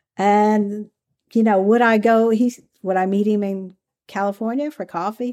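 Using a Southern US accent, a woman speaks at a fairly high pitch and moderate pace. Her tone is dark and mellow, with fairly even intonation. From Kentucky, US South. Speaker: former undercover FBI agent and author. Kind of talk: interview.

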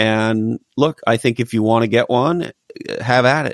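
The recording is very clean, with a silent background. The speaker has an American accent and ordinary pitch variation. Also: man, dry, close sound with no echo. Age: 50s. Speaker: marketing executive and author. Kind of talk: casual interview chat. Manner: animated.

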